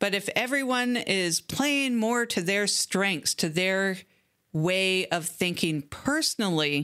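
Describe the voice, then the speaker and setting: A woman with a Canadian accent speaks very slowly in a bright, sharp, medium-pitched voice with lively intonation and very even loudness, on a very clean recording with a silent background. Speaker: podcast host. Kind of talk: podcast monologue. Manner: casual, conversational.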